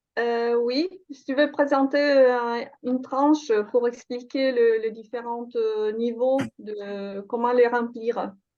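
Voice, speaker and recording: Her voice high-pitched, a woman speaks at a very slow pace with fairly even intonation and big swings in loudness. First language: Italian (speaking French). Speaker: workshop facilitator. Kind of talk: online workshop discussion. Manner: halting.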